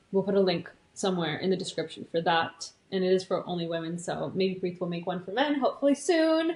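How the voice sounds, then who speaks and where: In an American accent, a woman speaks at a fairly quick pace in an animated tone, her medium pitch showing ordinary variation amid noticeable background noise. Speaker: podcast co-host, reiki master and yoga teacher. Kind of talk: casual chat.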